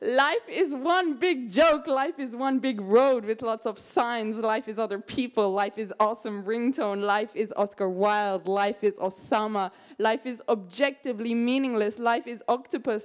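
Moderate pace, ordinary pitch variation and hardly any pauses against a quiet background. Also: woman. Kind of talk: poetry reading. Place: hall.

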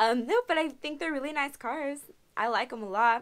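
Her voice is high in pitch, and the woman keeps a moderate pace. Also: ordinary pitch variation.

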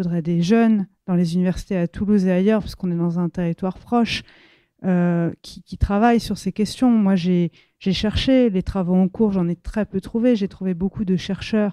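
Dark and mellow in tone, a woman's voice moves at a moderate pace with big swings in loudness, on a very clean recording with a silent background and a dry, close sound with no echo. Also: medium pitch for a woman, fairly even intonation. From France, Seine-et-Marne. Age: 30s. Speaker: novelist. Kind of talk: bookshop talk. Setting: bookshop event with audience. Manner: hesitant, many fillers.

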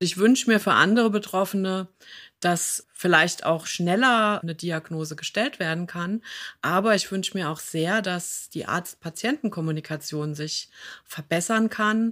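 A woman with an ordinary speaking voice and medium pitch speaks at a fairly slow pace on a very clean recording with a silent background. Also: ordinary pitch variation. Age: 50s. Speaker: patient advocate and podcast host, former occupational therapist. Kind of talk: interview conversation.

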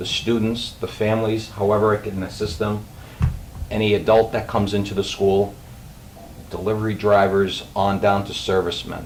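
Flat, monotone man with a slight Boston accent, fairly low pitch and moderate pace, over noticeable background noise and audible room echo. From Boston area. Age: 50s. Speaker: school food service director. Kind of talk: self-introduction at a public meeting. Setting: school committee meeting.

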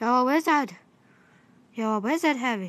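A woman's put-on character voice, gruff and high, with lively intonation, a moderate pace and a quiet background.

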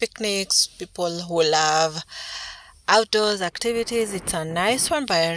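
The speech moves at a very slow pace with ordinary pitch variation and a dry sound with no echo. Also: woman. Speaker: home vlogger. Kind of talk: casual vlog narration.

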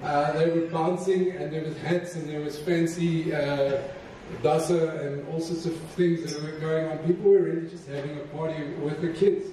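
A man speaks at a moderate pace with few pauses and fairly even intonation. His pitch is fairly high, his tone dark and mellow, and there is audible room echo.

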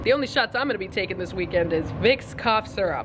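Very fast, hoarse speech from a woman amid noticeable background noise. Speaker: vlogger. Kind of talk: casual vlog chat. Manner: hoarse sick voice, wry joking. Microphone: phone near.

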